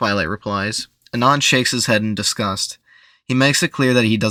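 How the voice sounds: Over quiet surroundings, we hear a natural reading voice.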